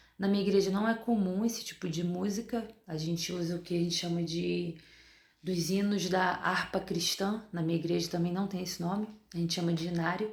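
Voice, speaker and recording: Speaking quietly and at a fairly quick pace, a woman uses a medium pitch and fairly even intonation. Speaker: dentist and vlogger. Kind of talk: video diary.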